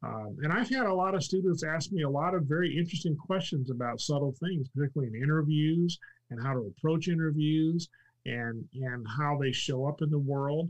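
Fairly high in pitch, a man speaks in a somewhat breathy way. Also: ordinary pitch variation, fairly quick pace. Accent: American. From California. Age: 60s. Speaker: retired NASA executive. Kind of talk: casual interview chat. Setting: live stream.

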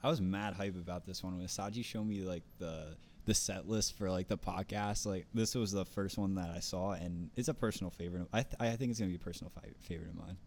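A man with a North Jersey accent talks at a very fast pace with hardly any pauses. His pitch is very deep and low, and the recording is very clean with a silent background. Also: ordinary pitch variation. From North Jersey, US. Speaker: podcast co-host. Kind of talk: casual chat.

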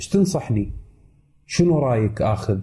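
A somewhat breathy man at a fairly slow pace, with lively intonation and a dark, mellow tone. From Kuwait. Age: 30s. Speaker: tech YouTuber. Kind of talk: casual chat.

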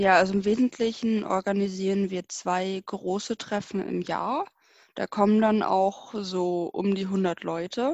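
Speaking at a fairly slow pace, a woman uses a medium pitch and fairly even intonation. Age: 20s. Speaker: student volunteer. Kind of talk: interview. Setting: video call.

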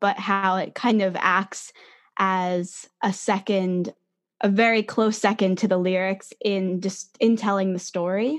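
In a plain, everyday voice, a woman with an American accent talks at a fairly slow pace, medium in pitch with fairly even intonation, over a quiet background. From New Jersey, near New York City. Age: 20s. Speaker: singer-songwriter. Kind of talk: casual interview.

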